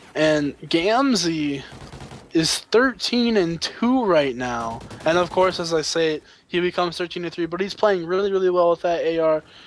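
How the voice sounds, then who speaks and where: A man speaks at a moderate pace in a high voice with lively intonation, over noticeable background noise. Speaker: esports caster. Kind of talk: live commentary. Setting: live stream.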